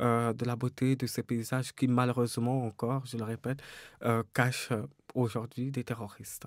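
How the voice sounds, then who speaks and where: A man speaks in a dry space with no echo. The background is quiet. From Cameroon, Douala; Cameroon. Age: 30s. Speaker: novelist; interviewee. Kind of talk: interview. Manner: hesitant, many fillers. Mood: calm, reflective. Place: studio. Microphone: studio mic.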